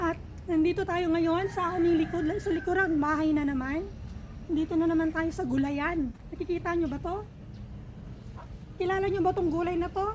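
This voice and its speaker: Audible room echo surrounds a woman with an extremely high pitch. She speaks at a moderate pace. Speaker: vlogger. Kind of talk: casual vlog chat. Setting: outdoors in backyard garden.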